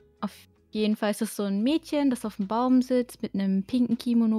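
Somewhat breathy, with a dark, mellow tone, the voice moves at a moderate pace on a very clean recording with a silent background and a dry, close sound with no echo. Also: woman. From Germany, Baden-Württemberg. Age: 20s. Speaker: artist and streamer. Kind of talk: casual interview.

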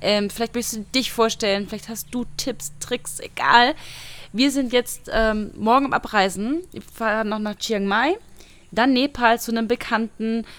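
A woman's normal speaking voice, fairly high in pitch, with ordinary pitch variation and a fairly slow pace. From Saarland, Germany. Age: 20s. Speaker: travel blogger. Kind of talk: casual chat. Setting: outdoors.

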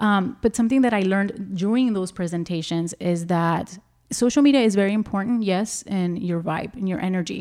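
A woman with an American accent talks at a fairly quick pace. Her tone is dark and mellow. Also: medium pitch for a woman, ordinary pitch variation, very clean recording, silent background. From Laredo, Texas. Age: 30s. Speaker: self-care and anti-abuse advocate. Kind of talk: interview.

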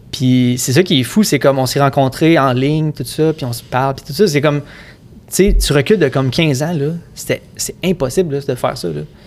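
Fairly high pitch from a man, with ordinary pitch variation. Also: fairly quick pace. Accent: Quebec. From Quebec, Sorel. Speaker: music producer. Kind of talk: casual chat.

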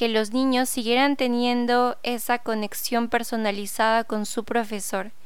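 A woman's fairly high-pitched voice in a Peruvian accent, fairly slow and monotone with flat intonation. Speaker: podcast host and teacher. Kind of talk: podcast intro monologue.

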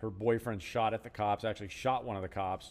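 A man speaks at a fairly quick pace with fairly even intonation in a plain, everyday voice. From Southern California. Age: 50s. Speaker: retired police sergeant, now realtor. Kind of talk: casual chat.

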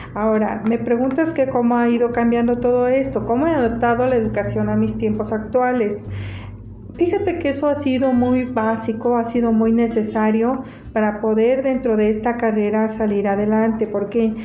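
In a central Mexican accent, a woman talks at a fairly high pitch with very even loudness and fairly even intonation. There is audible room echo and noticeable background noise. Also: moderate pace. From Mexico, Teziutlán, Puebla. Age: 50s. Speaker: interviewee, family member. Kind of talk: interview.

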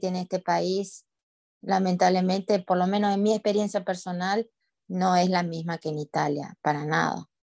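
A woman speaks at a medium pitch with monotone, flat intonation and a moderate pace. The sound is dry and close, with no echo. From Argentina, Paraná (Entre Ríos). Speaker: immigration lawyer. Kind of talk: interview.

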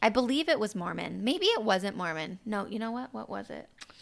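A woman speaks at a moderate pace in a normal speaking voice, her pitch fairly high. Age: 30s. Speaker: podcast host and spiritual intuitive. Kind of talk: personal storytelling monologue. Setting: solo podcast recording. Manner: casual, conversational.

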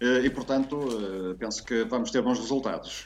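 A man speaks at a medium pitch, with ordinary pitch variation, amid noticeable background noise. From northern Portugal, Porto. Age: 50s. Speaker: writer and teacher on language expressions. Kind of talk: casual interview chat.

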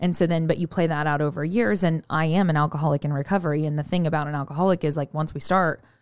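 A woman with an American accent speaks very fast in a very deep, low pitch with ordinary pitch variation. The recording is very clean with a silent background. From Oklahoma, small town. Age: 30s. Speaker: fitness and nutrition coach. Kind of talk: casual interview.

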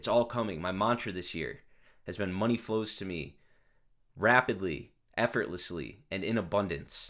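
A man with an American accent talks at a moderate pace in a fairly low pitch, with ordinary pitch variation. His tone is energetic, and the recording is very clean with a silent background. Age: 20s. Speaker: podcast host. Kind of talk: solo monologue rant. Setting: home recording at computer. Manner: energetic, off the cuff.

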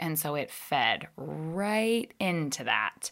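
A woman with an unremarkable speaking voice and a fairly low pitch is heard on a very clean recording with a silent background. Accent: American. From Northern Virginia. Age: 30s. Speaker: podcaster. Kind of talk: casual chat.

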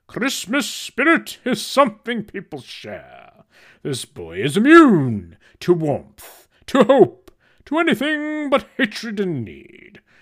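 Using a put-on character voice, a man speaks at a fairly slow pace in an extremely high pitch. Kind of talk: dramatic audio-drama reading. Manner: hearty, expansive, then stern.

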